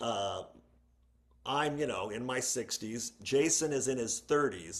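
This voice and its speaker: A man with an ordinary speaking voice talks at a medium pitch and fairly slow pace with ordinary pitch variation. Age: 60s. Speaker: podcast guest. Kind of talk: casual chat.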